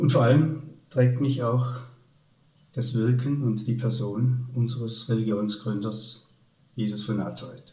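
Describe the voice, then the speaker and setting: The voice is somewhat breathy and dark and mellow in tone, with flat, monotone intonation. It moves at a fairly slow pace with long, frequent pauses and audible room echo. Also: man, medium pitch for a man. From Upper Swabia, southern Germany. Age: 70s. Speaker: retired teacher and headmaster. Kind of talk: faith testimony interview.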